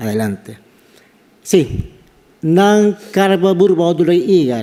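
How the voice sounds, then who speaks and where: With a Panamanian accent, a man speaks in a dark, mellow tone with lively intonation. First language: Guna (speaking Spanish). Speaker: anthropology professor. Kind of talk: conference talk.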